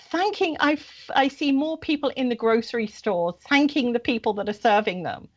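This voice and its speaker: A woman talks with lively intonation at a high pitch. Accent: British. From Britain. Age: 60s. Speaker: spiritual guest on radio show. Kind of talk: interview.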